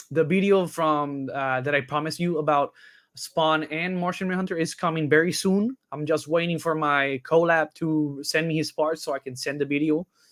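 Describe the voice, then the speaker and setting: This man has an ordinary speaking voice, fairly high in pitch, with fairly even intonation at a moderate pace. He hardly pauses, and the very clean recording has a silent background. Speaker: YouTube reaction channel host. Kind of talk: casual chat.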